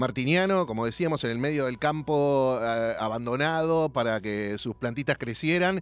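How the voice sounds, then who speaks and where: Speaking in a Rioplatense accent, a man keeps a moderate pace with hardly any pauses, a medium pitch, and ordinary pitch variation. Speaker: radio host. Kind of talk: radio interview. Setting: radio studio with guest on Zoom.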